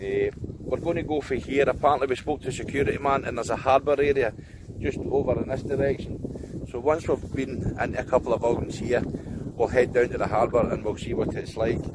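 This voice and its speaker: A man talks at a fairly quick pace. The sound is dry with no echo, over loud background noise. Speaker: exploration vlogger. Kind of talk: casual vlog chat. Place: open country. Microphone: phone near.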